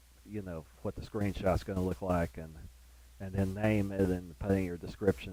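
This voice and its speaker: Very deep and low in pitch, a man talks at a fairly quick pace with ordinary pitch variation. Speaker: gaming streamer. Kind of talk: gameplay commentary. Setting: live stream on console. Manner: rambling, many fillers and repeats.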